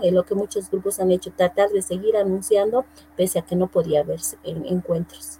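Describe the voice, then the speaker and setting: In an unremarkable speaking voice, a woman talks at a moderate pace with medium pitch and ordinary pitch variation. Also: dry, close sound with no echo. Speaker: church choir singer. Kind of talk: casual chat.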